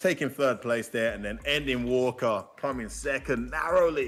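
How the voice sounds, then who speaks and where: A fairly slow pace in a British accent. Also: man. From UK. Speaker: esports commentator. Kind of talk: live commentary. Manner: animated.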